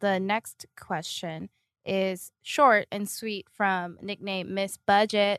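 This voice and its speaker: A woman speaks at a very slow pace with fairly even intonation. The background is quiet. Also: dry, close sound with no echo. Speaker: reader of listener messages. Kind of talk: reading aloud.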